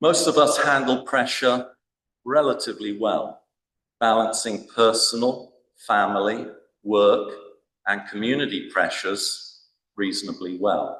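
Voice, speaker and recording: In a room with audible echo, a man talks at a fairly slow pace, leaving long, frequent pauses. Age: 60s. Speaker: church minister. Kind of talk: conference speech.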